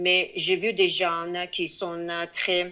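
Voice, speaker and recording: A woman's voice sits at a medium pitch with a bright, sharp tone. The background is quiet. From Tajikistan, Dushanbe. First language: Tajik or Russian (speaking French). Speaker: feminist activist. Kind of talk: interview. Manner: halting, many hesitations.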